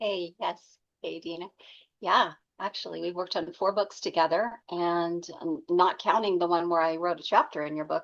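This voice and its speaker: Speaking in an ordinary speaking voice, a woman has a fairly low pitch, a moderate pace and fairly even intonation. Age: 60s. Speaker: ghostwriter and editor. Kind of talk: casual chat.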